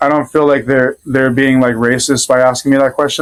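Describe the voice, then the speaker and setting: A man with an American accent at a fairly quick pace, fairly high in pitch, in a dry, close sound with no echo. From Rhode Island, US. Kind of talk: casual interview chat. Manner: hesitant, many fillers.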